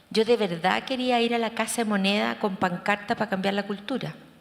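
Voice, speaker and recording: Using a plain, everyday voice, a woman speaks at a fairly quick pace with ordinary pitch variation. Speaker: therapist and researcher. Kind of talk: conference talk.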